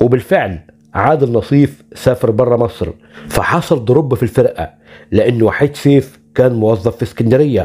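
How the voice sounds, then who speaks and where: A man's medium-pitched voice, dark and mellow in tone and somewhat breathy, moves at a moderate pace. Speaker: YouTube channel host, arts narrator. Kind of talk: scripted narration.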